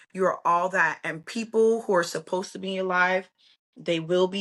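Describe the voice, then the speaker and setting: Fairly even intonation carries the speech along at a moderate pace. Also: woman, quiet background. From Brooklyn, New York. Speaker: hair stylist, entrepreneur. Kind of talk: interview. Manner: loud.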